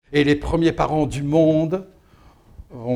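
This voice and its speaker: The man's voice has a dark, mellow tone. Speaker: storyteller. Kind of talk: dramatic storytelling of a myth, told as an oral tale with a rhythmic, incantatory build. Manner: animated, with short repetitive mirrored phrases that build tension.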